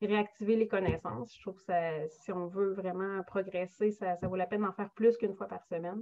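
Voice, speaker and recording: A woman at a moderate pace. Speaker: German language teacher. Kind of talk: virtual info session presentation. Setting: video call. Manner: halting, many fillers and repetitions.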